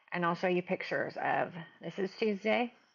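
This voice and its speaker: A woman's medium-pitched voice with a Midwestern accent. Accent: Midwest US. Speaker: mother of medically complex child, nurse. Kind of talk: video diary. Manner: casual, conversational.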